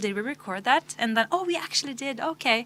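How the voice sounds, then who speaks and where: A woman speaks at a fairly quick pace in a bright, sharp tone with fairly high pitch and very wide pitch swings. The recording is very clean with a silent background. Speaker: musician. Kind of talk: casual chat.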